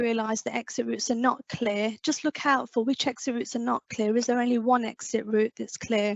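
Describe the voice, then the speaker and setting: Fairly quick and fairly even in intonation, a woman speaks at a fairly high pitch. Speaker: fire service safety officer. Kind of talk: conference presentation. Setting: online conference. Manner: fast.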